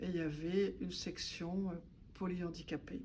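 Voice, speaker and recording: With audible room echo around her, a woman speaks in a fairly low, somewhat breathy voice with fairly even intonation. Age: 70s. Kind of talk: testimony. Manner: hesitant with frequent fillers.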